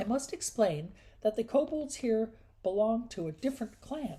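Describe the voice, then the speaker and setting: A female-sounding, put-on character voice comes through at a fairly high pitch. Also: moderate pace. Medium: read story.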